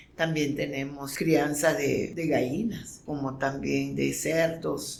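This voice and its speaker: A woman talks at a very slow pace in a very deep, low pitch. Audible room echo surrounds her voice. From Nicaragua, Caribbean coast (Miskito, Río Coco). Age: 60s. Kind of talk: testimony. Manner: halting, with repetitions.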